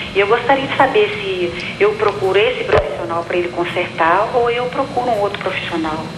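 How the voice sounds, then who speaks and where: With hardly any pauses, a woman talks at a moderate pace, her medium pitch showing ordinary variation. Audible room echo and noticeable background noise surround her voice. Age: 60s. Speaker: TV viewer caller. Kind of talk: phone question to a doctor.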